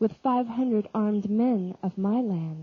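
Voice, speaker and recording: A somewhat breathy woman's voice of medium pitch with ordinary pitch variation. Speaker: audiobook reader. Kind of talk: dramatic religious reading.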